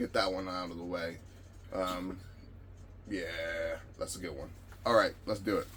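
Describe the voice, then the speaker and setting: Monotone, flat delivery at a fairly slow pace, with long, frequent pauses and noticeable background noise. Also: man, very deep, low pitch for a man. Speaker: reptile breeder and YouTuber. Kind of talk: casual tutorial. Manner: casual, conversational.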